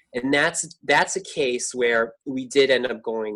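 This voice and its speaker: Speaking with an American accent, a man has an unremarkable speaking voice, a fairly slow pace and ordinary pitch variation. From New York. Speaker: furniture repairer. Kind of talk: interview.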